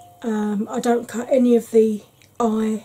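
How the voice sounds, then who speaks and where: A woman speaks in a monotone, flat intonation over music in the background. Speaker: beauty vlogger. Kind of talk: tutorial. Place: home room.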